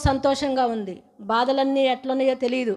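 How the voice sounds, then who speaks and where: A woman against a quiet background. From Telangana, Khammam district; Telangana. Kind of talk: testimony. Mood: earnest, grateful. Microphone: handheld.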